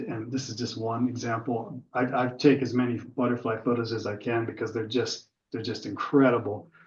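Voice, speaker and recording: With an American accent, a man of medium pitch sounds somewhat breathy. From US, Pittsburgh area. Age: 60s. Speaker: birder giving a club talk. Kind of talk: slideshow talk with Q&A. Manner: casual, filler-heavy.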